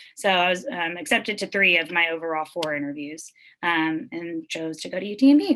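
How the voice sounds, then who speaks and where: Speaking in an American accent, a woman with a fairly low pitch and a bright, sharp tone uses lively intonation and big swings in loudness. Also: fairly quick pace. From Texas, Wharton. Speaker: family medicine physician. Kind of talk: talk to students. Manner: fast.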